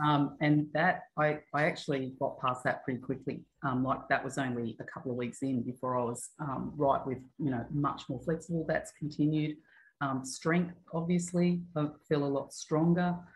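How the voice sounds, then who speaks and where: A somewhat breathy, very deep, low-pitched woman's voice with an Australian accent. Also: moderate pace. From Australia, Newcastle NSW. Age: 50s. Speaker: gym member. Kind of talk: casual interview. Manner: hesitant, many fillers.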